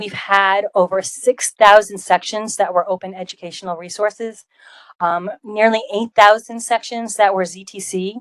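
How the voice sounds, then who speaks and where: A woman with a Rhode Island accent talks at a moderate pace and medium pitch with fairly even intonation. Her loudness swings widely, and the sound is dry and close with no echo. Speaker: college open education program leader. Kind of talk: conference presentation. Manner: frequent filler ums.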